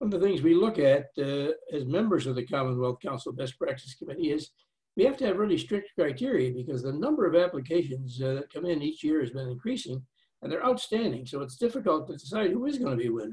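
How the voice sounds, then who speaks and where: The voice swings very widely in pitch and races along at a very fast pace. The background is quiet. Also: man. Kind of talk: opening remarks speech. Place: home room. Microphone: webcam.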